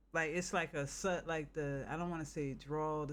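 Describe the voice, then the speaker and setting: Speaking at a moderate pace in an American accent, a man with a fairly high pitch keeps a flat monotone, and audible room echo surrounds his voice. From northern US. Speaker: game streamer. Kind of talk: casual chat.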